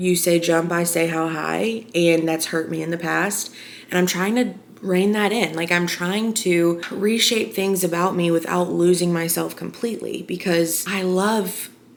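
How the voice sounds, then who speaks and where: A woman with an American accent and a fairly low pitch speaks at a fairly slow pace with fairly even intonation, amid audible room echo and noticeable background noise. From Arkansas, US South. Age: 20s. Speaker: vlogger. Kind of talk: casual personal chat to camera. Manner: loud.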